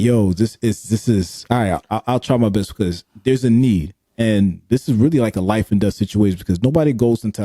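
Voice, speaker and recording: A man's fairly low, dark, mellow voice at a fairly quick pace, in a very clean recording with a silent background and a dry, close sound with no echo. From US, Haitian-American household. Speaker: podcast host. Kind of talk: casual interview conversation. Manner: animated, conversational.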